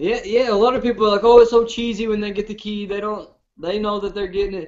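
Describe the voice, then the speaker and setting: A man speaks at a very fast pace in a high, monotone voice with flat intonation and big swings in loudness. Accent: strong Southern US. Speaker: reality TV contestant, show host. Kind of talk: casual chat. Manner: hard to understand, fast.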